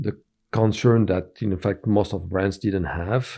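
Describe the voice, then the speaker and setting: Against a quiet background, a man with a French accent speaks in a fairly low pitch with a dark, mellow tone. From France. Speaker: company founder. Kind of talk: interview. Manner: hesitant, many fillers.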